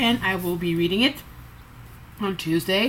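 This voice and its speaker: With a slight French Canadian accent, a woman speaks at a moderate pace and a fairly low pitch, with ordinary pitch variation. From Quebec, Montreal. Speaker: booktuber. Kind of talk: casual vlog. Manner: halting.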